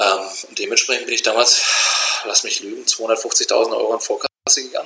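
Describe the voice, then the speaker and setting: A man talks at a moderate pace. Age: 30s. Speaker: entrepreneur, trailer manufacturer. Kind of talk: interview.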